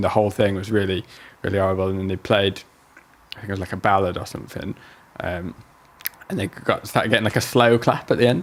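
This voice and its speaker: A man in a Yorkshire accent, fairly low-pitched and monotone, at a fairly quick pace amid noticeable background noise. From northern England, Bradford. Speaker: jazz guitarist. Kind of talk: casual chat.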